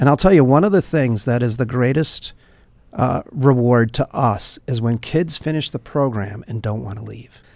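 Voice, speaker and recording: A man speaks at a moderate pace in a medium pitch, with ordinary pitch variation. It is a plain, everyday voice. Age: 60s. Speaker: nonprofit director. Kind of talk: podcast interview, storytelling.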